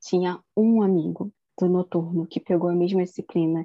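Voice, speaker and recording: Here a woman talks at a fairly slow pace. Her fairly low voice has monotone, flat intonation. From Rio de Janeiro, Campo Grande (West Zone). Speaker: language teacher, podcast co-host. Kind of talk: casual chat.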